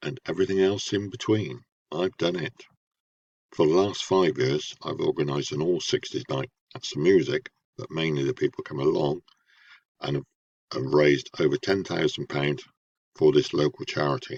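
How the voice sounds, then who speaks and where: Speaking at a moderate pace with long, frequent pauses, a man uses a very deep, low voice with vocal fry and lively intonation. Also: dry, close sound with no echo. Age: 70s. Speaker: retired theatre manager and TV extra. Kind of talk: self-introduction.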